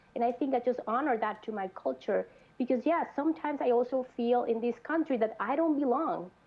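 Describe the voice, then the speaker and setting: A woman's high pitch and ordinary pitch variation at a fairly quick pace, with a Mexican accent. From Mexico, Monterrey. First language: Spanish. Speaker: mental health clinician. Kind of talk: panel discussion. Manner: halting.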